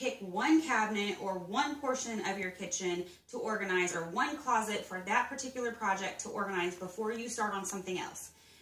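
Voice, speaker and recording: Talking fairly quickly with hardly any pauses, a woman with a fairly high pitch and ordinary pitch variation is heard over noticeable background noise and audible room echo. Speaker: home organization vlogger. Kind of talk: casual vlog tutorial. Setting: at home.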